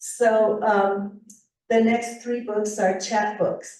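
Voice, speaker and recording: The pace is very slow. Audible echo from the room carries through the recording. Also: woman. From northern New Mexico. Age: 70s. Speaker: author and retired sociology professor. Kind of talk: presentation to writers' group.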